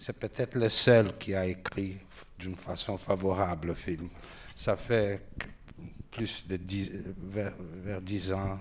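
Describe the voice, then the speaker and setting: A man talks very slowly with a Portuguese accent, his pitch very deep and low. His intonation is monotone and flat, broken by long, frequent pauses. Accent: Portuguese accent in French, limited French. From Brazil, Rio de Janeiro. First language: Portuguese (speaking French). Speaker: film director. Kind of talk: public Q&A talk. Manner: halting.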